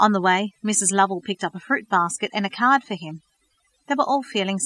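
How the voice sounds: With a quiet background behind it, the clip presents a natural reading voice.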